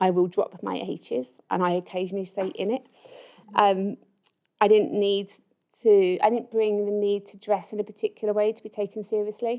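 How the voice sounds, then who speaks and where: A woman speaks at a medium pitch with a dark, mellow tone. Her intonation stays fairly even while her loudness swings widely. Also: moderate pace. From East London, England. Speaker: university dean. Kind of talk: personal talk to an audience. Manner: hesitant, with many fillers.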